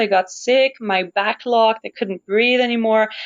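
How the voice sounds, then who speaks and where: Talking at a fairly quick pace, a woman with a Quebec accent uses a fairly high pitch and ordinary pitch variation. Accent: Québécois French accent in English. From Montreal, Quebec. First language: French. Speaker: opera singer. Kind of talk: interview conversation.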